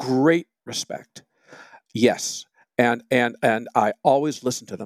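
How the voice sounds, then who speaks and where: In an American accent, a man speaks very slowly at a medium pitch with ordinary pitch variation and big swings in loudness, the sound dry and close with no echo. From Michigan, US. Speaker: magazine editor and music critic. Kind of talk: casual conversational interview. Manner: wry, humorous, self-deprecating.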